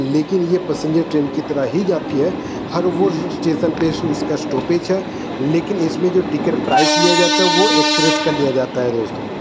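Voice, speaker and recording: Loud background noise behind speech at a moderate pace. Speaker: train vlogger. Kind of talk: casual vlog chat. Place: train. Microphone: phone near.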